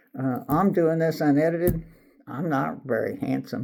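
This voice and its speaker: A man speaks with lively intonation. His voice carries some vocal fry. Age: 60s. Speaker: retiree YouTuber. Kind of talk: casual unscripted monologue. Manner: halting, many fillers.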